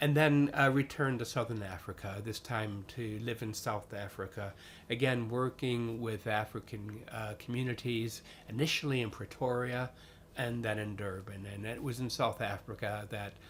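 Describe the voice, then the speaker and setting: In an American accent, a man speaks at a moderate pace and medium pitch, his intonation fairly even. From US, western New York (Niagara Falls). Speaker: chaplain and priest. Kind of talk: interview. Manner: halting, many fillers.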